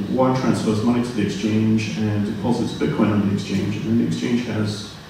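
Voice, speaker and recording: A man with a fairly low pitch talks at a fairly quick pace. Light background noise and strong room echo fill the recording. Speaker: speaker. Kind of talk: panel discussion answer. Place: hall.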